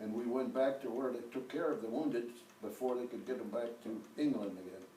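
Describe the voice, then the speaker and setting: A man is talking. Noticeable background noise runs behind his voice. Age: 80s+. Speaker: war veteran. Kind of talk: interview answer.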